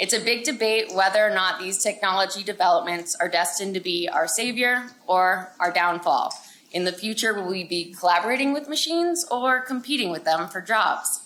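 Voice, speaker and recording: The voice has ordinary pitch variation, and noticeable background noise can be heard. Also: woman, medium pitch for a woman, fairly quick pace. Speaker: market researcher presenting at a conference. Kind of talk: conference presentation. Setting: conference room with audience. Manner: loud. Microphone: no personal mic, speaking without being mic'd up.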